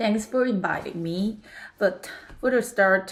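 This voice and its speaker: Heard in a very clean recording against a silent background, a woman with a Korean accent speaks at a fairly slow pace and a fairly high pitch, her pitch varying in an ordinary way. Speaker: podcast guest. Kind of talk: casual chat. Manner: halting.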